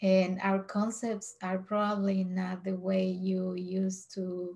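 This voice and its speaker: A woman's somewhat breathy, dark, mellow voice at medium pitch, with a Spanish accent and monotone, flat intonation. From Mexico. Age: 40s. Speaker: vlogger. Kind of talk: casual vlog monologue. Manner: hesitant, many fillers.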